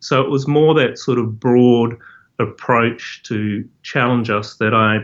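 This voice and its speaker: In a New Zealand accent, a man speaks at a very slow pace with a medium pitch and fairly even intonation. Behind him, the background is quiet. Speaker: professor. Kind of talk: interview. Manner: halting.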